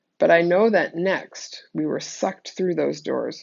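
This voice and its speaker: A woman uses a put-on character voice that is raspy and fairly low in pitch. She delivers it at a moderate pace. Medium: read story. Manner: measured, solemn.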